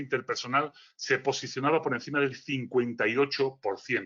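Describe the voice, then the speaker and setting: Moving at a fairly quick pace, a man speaks with a strong Galician accent. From Galicia, Spain. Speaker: philosopher, speaker. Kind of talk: lecture. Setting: virtual conference.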